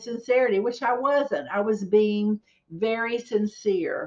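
A woman with a Southern accent speaks at a fairly high pitch over a quiet background. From southeastern North Carolina. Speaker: real estate agent. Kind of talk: casual vlog talk to camera. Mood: warm, storytelling.

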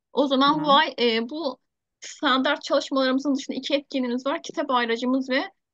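A woman talks at a fairly quick pace in a high pitch with ordinary pitch variation. The sound is dry with no echo, and the background is quiet. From Turkey. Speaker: teacher, project founder leading a video meeting; teacher. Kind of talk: online meeting, casual-formal chat. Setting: video call. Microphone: video call.

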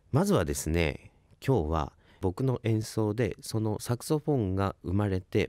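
A dark, mellow tone with vocal fry, dry sound with no echo and a quiet background. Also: man. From Ibaraki, Japan; Japan. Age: 20s. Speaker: saxophonist and radio host; radio host. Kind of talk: radio talk show. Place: studio. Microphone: studio mic.

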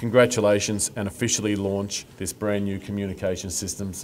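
At a moderate pace, a man with a fairly low pitch talks in a normal speaking voice. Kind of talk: formal speech. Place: street. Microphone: podium.

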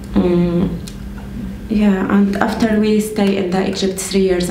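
With an Arabic accent, a woman talks at a fairly slow pace over noticeable background noise. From Syria. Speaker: refugee. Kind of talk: interview. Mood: reflective, slightly emotional. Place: home room.

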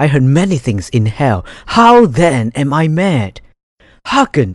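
A man speaks in a somewhat breathy voice. His pitch swings very widely, against a quiet background. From Malaysia. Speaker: voice actor; student mentor. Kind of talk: dramatic audiobook reading.

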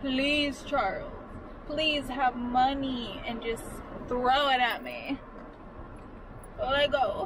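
Against noticeable background noise yet with a dry sound and no echo, a woman speaks very slowly at a high pitch with fairly even intonation. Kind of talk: casual vlog chat. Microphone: phone near.

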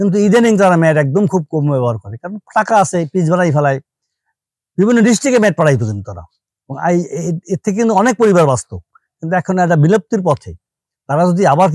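A high-pitched man with lively intonation, in a dry, close sound with no echo. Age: 60s. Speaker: coconut-fibre mat maker. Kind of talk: interview.

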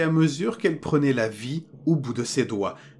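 Music plays in the background as a man speaks at a fairly high pitch. His fairly slow delivery has lively intonation. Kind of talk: ghost story telling, horror narration read aloud. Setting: studio recording for headphones. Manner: slow, hushed and suspenseful, building dread; grave first-person narrator, measured and tense.

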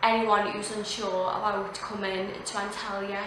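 A woman speaks in a monotone, with flat intonation. Noticeable background noise and audible room echo fill the recording. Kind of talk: testimonial. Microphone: phone near.

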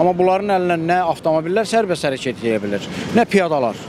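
Noticeable background noise sits under a man's dry voice, which has no echo. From Azerbaijan. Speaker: traffic police officer; interviewee commenting on traffic enforcement. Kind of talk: news interview. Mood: serious, critical. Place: street. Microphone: handheld.

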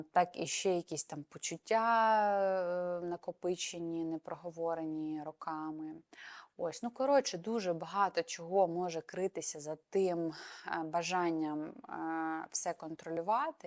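On a very clean recording with a silent background and a dry, close sound with no echo, a woman with an unremarkable speaking voice talks at a fairly low pitch and fairly slow pace with ordinary pitch variation. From Ukraine. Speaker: psychologist and psychotherapist. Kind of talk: educational talk to camera.

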